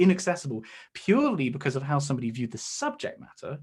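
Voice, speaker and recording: Very fast and fairly high in pitch, a man's somewhat breathy voice makes very wide pitch swings in a very clean recording with a silent background. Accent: English. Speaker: science communicator, YouTuber. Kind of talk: seminar talk. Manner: hesitant fillers.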